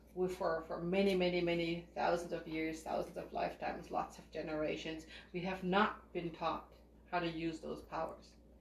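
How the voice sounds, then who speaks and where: Over noticeable background noise and audible room echo, a woman with a fairly low pitch talks at a moderate pace in a monotone, flat way. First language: not English. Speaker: spiritual group leader and psychic reader. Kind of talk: spiritual teaching talk.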